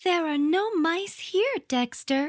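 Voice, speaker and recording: A woman puts on a squeaky character voice. Her pitch is extremely high. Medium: read story.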